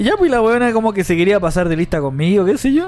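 A man with a Chilean accent talks at a very fast pace in a high voice, with music playing in the background. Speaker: podcast co-host. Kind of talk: casual chat.

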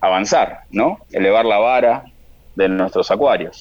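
A man speaks at a fairly slow pace. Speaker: aquarium shop owner. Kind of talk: radio interview.

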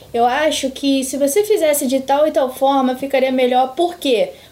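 A woman talks fairly quickly with ordinary pitch variation while noticeable background noise plays behind her. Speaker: psychologist. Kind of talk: casual chat.

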